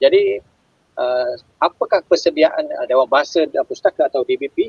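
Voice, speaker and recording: A man speaks with a Malaysian accent. His pace is fairly slow. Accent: Malaysian Malay. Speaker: live-stream host. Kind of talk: interview. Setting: online live stream.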